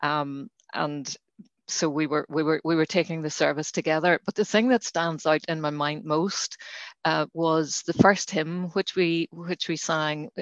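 A woman with a Northern Irish accent speaks at a very deep, low pitch and a fairly slow pace, with fairly even intonation. The sound is dry and close with no echo, over a quiet background. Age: 60s. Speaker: lay reader. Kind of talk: interview about faith. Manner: halting, many fillers.

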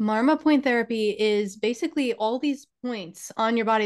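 Against a quiet background, a woman with a New York accent talks at a moderate pace in a fairly high pitch. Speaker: spiritual teacher and healer. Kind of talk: casual interview conversation.

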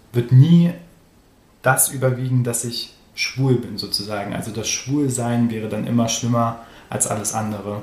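With noticeable background noise and audible room echo, a man speaks in a monotone, flat intonation at a medium pitch and a moderate pace. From Germany, Göttingen area. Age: 20s. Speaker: interview guest. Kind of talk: personal interview. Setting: studio, in person.

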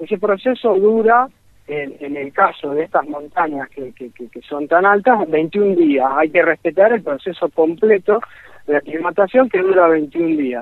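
A high-pitched man at a fairly slow pace, with lively intonation and big swings in loudness. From Argentina. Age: 40s. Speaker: mountaineer. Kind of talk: interview.

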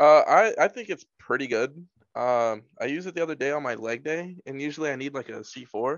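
A man with a normal speaking voice talks at a fairly quick pace with a fairly high pitch, ordinary pitch variation and big swings in loudness. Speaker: podcast co-host. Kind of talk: casual chat.

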